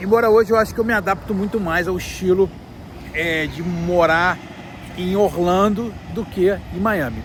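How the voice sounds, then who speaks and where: With long, frequent pauses, a man talks at a moderate pace in a high voice and fairly even intonation, over noticeable background noise. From Brazil, Rio de Janeiro. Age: 40s. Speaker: vlogger. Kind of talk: casual vlog talk to camera. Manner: hesitant, many fillers.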